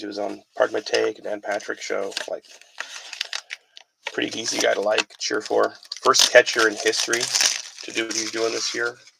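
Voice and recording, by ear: This voice has a bright, sharp tone with vocal fry, a slightly husky edge and little pitch movement. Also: man, fairly low pitch for a man, moderate pace.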